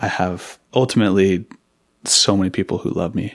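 His pitch sits very deep and low. The man has an American accent. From Seattle, Washington. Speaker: farmer. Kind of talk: interview conversation. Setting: in-person in an office.

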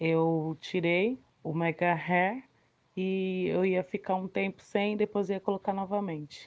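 At a fairly slow pace, a woman speaks in a plain, everyday voice with fairly even intonation. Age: 30s. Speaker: self-employed cake seller. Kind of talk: interview.

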